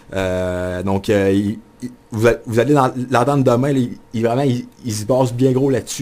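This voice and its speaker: Noticeable background noise accompanies a man whose medium pitch shows ordinary variation. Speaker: sports journalist and radio columnist. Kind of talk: radio studio interview answer about his new hockey column. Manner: enthusiastic, fast-paced.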